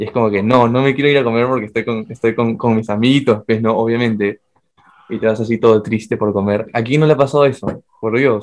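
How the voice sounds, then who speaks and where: Using a normal speaking voice, a man talks at a fairly quick pace and medium pitch with fairly even intonation. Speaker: podcast co-host. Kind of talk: casual chat.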